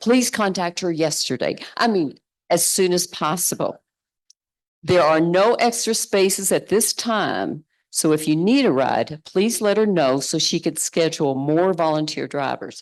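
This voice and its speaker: In a Kentucky accent, a woman with a fairly low pitch talks at a fairly slow pace with lively intonation. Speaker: synod participant making announcements. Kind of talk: announcements.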